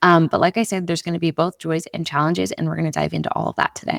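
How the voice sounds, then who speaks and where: The voice carries vocal fry. The sound is dry and close, with no echo. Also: woman. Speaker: podcast host. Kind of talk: casual monologue. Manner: not speaking loudly.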